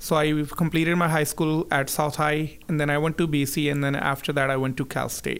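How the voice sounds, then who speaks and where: A fairly high-pitched man with a Punjabi accent speaks with fairly even intonation. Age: 30s. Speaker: business owner. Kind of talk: casual interview.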